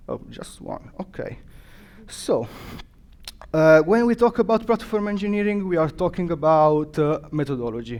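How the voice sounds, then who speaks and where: A high-pitched man with an Italian accent, lively intonation, a moderate pace, big swings in loudness, and long, frequent pauses. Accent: non-native English, Italian. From Italy. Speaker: developer advocate, conference speaker. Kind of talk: conference talk. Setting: stage with audience. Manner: halting, many fillers.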